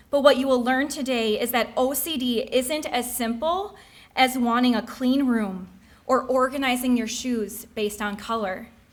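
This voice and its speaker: A high-pitched woman speaks at a moderate pace with fairly even intonation amid audible room echo. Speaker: speaker sharing mental health story. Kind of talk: personal testimony speech. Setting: stage with audience.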